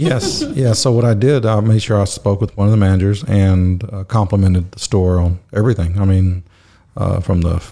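With an American accent, a man speaks at a moderate pace in a dark, mellow, somewhat breathy tone with ordinary pitch variation. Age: 50s. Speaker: restaurant business owner. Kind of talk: casual chat. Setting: office.

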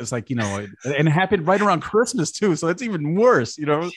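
A man with an American accent speaks very fast, his pitch swinging very widely. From Brooklyn, New York. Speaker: communications director. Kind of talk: casual chat.

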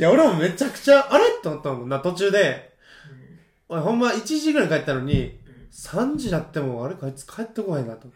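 Speaking very fast in a Kansai accent, a man uses a high pitch with very wide pitch swings and big swings in loudness. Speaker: podcast co-host. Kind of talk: casual chat. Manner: animated, frequent laughter.

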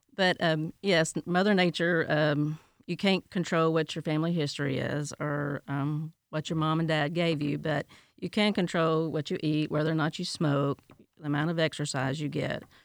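A woman with a Tennessee accent has a very deep, low pitch and fairly even intonation. The sound is dry and close with no echo, and the recording is very clean over a silent background. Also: moderate pace. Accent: Tennessee Southern. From Tennessee, US. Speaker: healthcare director. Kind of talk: interview.

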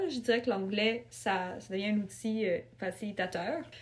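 At a fairly slow pace, a woman with a medium pitch and a somewhat breathy voice speaks with lively intonation. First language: not French; family of Ukrainian and Russian origin (speaking French). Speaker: writer. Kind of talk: casual interview.

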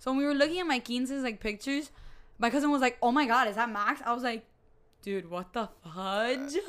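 A woman speaks loudly at a fairly quick pace. Her pitch is high, with ordinary variation. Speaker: podcast co-host. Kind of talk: casual chat.

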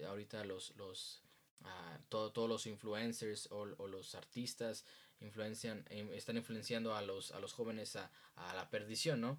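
A man with an ordinary speaking voice, fairly low in pitch, fairly even in intonation, at a fairly slow pace. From Mexico. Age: 20s. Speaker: youth group leader. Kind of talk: interview.

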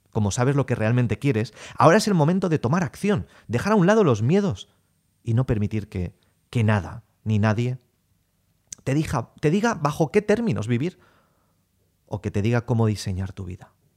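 In an animated tone, a man speaks at a moderate pace with long, frequent pauses and a medium pitch that makes very wide swings. The recording is very clean with a silent background and sounds dry and close with no echo. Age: 30s. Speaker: sales coach podcaster. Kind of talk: motivational monologue.

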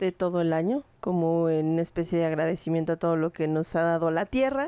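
A woman's fairly low voice in a Mexican accent, with ordinary pitch variation, dry and close with no echo, over a quiet background. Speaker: podcast host. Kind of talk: casual chat.

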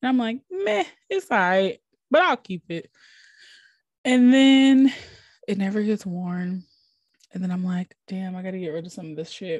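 A woman's somewhat breathy, medium-pitched voice in an American accent, animated in tone with lively intonation, a moderate pace, long, frequent pauses and big swings in loudness, on a very clean, dry, close recording with a silent background and no echo. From Minnesota. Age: 20s. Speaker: podcast host and plus size influencer. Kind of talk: casual solo monologue.

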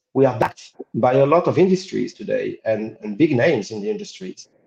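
Somewhat breathy, a man speaks at a fairly high pitch and a fairly quick pace. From Israel. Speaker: crypto company marketing executive. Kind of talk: interview.

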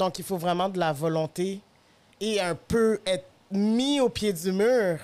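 A woman with a Quebec accent at a very slow pace. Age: 30s. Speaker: podcast host. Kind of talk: casual chat.

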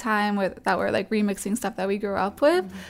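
On a very clean recording with a silent background, a woman with an ordinary speaking voice and an American accent talks at a medium pitch with fairly even intonation. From Massachusetts, US. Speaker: DJ and music producer. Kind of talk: casual chat. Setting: in person, Brooklyn.

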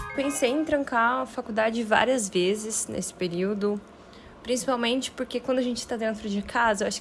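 This woman's voice is somewhat breathy and fairly high, and she keeps a moderate pace. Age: 20s. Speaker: university student. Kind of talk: interview testimony.

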